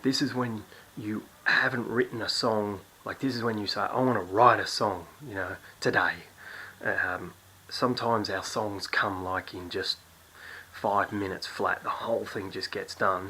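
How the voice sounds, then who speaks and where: A quiet man speaks at a moderate pace with fairly even intonation. Noticeable background noise can be heard. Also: medium pitch for a man. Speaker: songwriting teacher. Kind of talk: tutorial. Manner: quiet, hushed; casual, with fillers and restarts.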